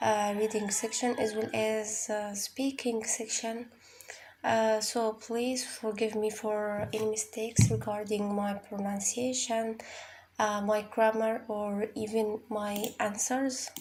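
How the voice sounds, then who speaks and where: Very slowly and in a monotone, flat intonation, a woman with an Arabic accent speaks at a fairly high pitch. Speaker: IELTS tutor. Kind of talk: tutorial. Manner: halting, many fillers and repeats.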